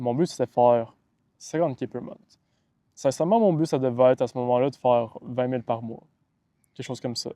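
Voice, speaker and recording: The recording is dry and close with no echo as a man of medium pitch talks in a dark, mellow tone at a fairly quick pace, with big swings in loudness and long, frequent pauses. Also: ordinary pitch variation. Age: 20s. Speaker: online business coach. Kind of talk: motivational talk to camera. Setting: outdoors by the water.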